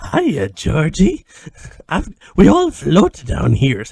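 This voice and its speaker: A man puts on a character voice at a fairly high pitch. He talks at a very slow pace. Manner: creepy, menacing.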